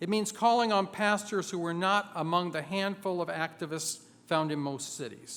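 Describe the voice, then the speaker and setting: Here a man speaks at a high pitch. He keeps a moderate pace. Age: 60s. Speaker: labor organizer. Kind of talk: convention speech.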